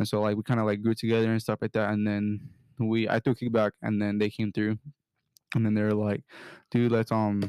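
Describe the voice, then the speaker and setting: Dry and close with no echo, a man's voice moves at a fairly quick pace in monotone, flat intonation. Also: very clean recording, silent background. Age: 20s. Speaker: podcast co-host. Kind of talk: casual chat.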